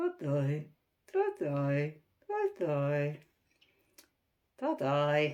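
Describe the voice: In a put-on character voice at a middle pitch, the speaker goes very slowly, with long, frequent pauses.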